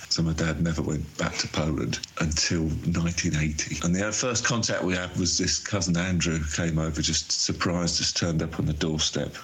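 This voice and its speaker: A man with a very deep, low pitch speaks at a moderate pace and very even loudness. His intonation stays fairly even against noticeable background noise. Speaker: artist and sculptor. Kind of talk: recorded voice messages. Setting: voice note recording.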